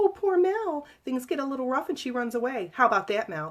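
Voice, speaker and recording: Putting on a character voice, a female-sounding speaker talks at a high pitch and a fairly quick pace with very wide pitch swings. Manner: mocking, sneering.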